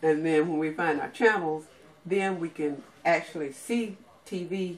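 Over light background noise, a woman speaks with a very deep, low pitch and ordinary pitch variation. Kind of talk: tutorial. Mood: pleased, light laughter. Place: home room. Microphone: camera far.

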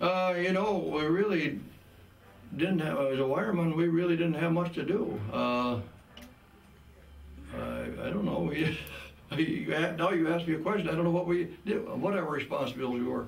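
An American-accented man with a high pitch and ordinary pitch variation, at a moderate pace with long, frequent pauses, plus audible room echo. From Wisconsin. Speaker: war veteran. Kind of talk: interview answer. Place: hall.

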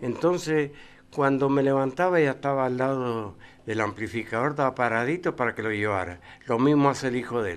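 Faint music sits in the background as a man talks at a fairly quick pace with ordinary pitch variation. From Argentina. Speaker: cycling race announcer; interview guest. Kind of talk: TV interview. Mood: nostalgic, warm reminiscing. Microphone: podium.

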